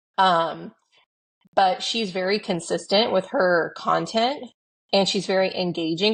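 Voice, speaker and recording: A woman speaks in a normal speaking voice with ordinary pitch variation. The background is quiet. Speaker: podcast co-host. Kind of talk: casual chat. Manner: casual, filler-heavy.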